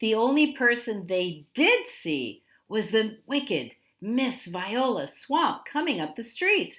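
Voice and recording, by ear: The reader reads aloud in a natural voice with lively intonation.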